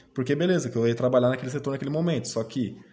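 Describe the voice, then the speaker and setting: A dark, mellow tone from a man, his delivery somewhat breathy. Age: 20s. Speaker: interviewee, former young apprentice. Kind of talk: interview. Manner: hesitant, many fillers.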